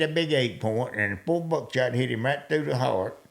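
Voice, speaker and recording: Lively intonation from a man in a Southern US accent. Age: old. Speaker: hunter. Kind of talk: storytelling in podcast interview.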